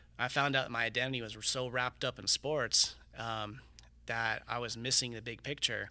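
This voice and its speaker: In an American accent, a man at medium pitch talks with monotone, flat intonation and a bright, sharp tone. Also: moderate pace. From Riverside, California, US. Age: 30s. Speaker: student pastor. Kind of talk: casual interview.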